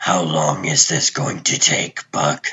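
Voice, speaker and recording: Doing a put-on character voice, a man speaks raspy and very deep, low in pitch, at a fairly slow pace. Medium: fan dub. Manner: terse, clipped.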